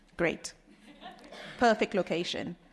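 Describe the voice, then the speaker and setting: With a British accent, the speaker keeps a moderate pace on a very clean recording with a silent background. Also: woman. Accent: British accent, can switch to Trinidadian. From Trinidad and Tobago. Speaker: nurse researcher. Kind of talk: conference talk and Q&A.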